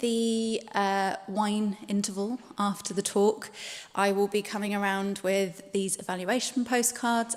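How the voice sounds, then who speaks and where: At a medium pitch, a woman talks with fairly even intonation. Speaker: heritage consultant introducing a speaker. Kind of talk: event introduction. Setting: church hall event with live audience, live streamed.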